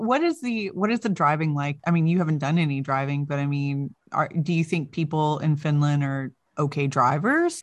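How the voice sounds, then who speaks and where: Her voice is very deep and low in pitch, with hardly any pauses. The woman is heard against a quiet background. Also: ordinary pitch variation, moderate pace. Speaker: podcast host. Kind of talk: casual chat. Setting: video call. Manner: loud; animated.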